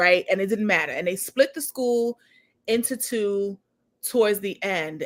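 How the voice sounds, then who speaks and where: Speaking with a Harlem accent, a woman has a fairly high-pitched voice. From New York (Harlem). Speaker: executive director, show host. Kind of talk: casual interview chat.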